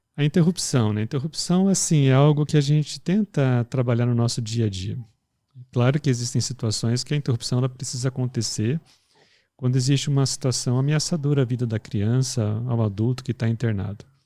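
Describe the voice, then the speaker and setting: Soft-spoken and fairly quick, a man talks at a medium pitch with ordinary pitch variation and a dark, mellow tone, in a very clean recording with a silent background and a dry, close sound with no echo. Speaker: pediatric intensive care professional. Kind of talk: podcast discussion.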